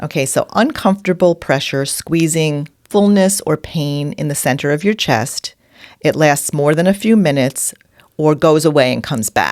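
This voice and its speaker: A woman with a New York accent, very deep and low in pitch, at a moderate pace with ordinary pitch variation. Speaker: podcast co-host. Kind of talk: casual chat.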